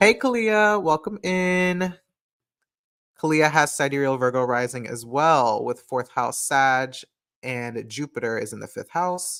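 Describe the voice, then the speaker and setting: This man's voice sits fairly high for a man. He speaks at a fairly slow pace with big swings in loudness. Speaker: astrologer hosting a live stream. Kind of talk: casual live stream talk reading chat comments. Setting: live stream. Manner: casual, hesitant with many fillers.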